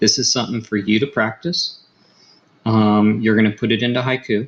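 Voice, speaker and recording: Soft-spoken, a man talks at a medium pitch and a fairly quick pace with fairly even intonation. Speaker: high school math teacher. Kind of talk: tutorial. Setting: home recording at night. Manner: soft-spoken, keeping volume down.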